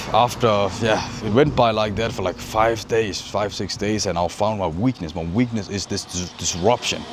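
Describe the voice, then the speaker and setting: A man's fairly low voice carries over noticeable background noise. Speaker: inner work coach. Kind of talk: casual talk to camera.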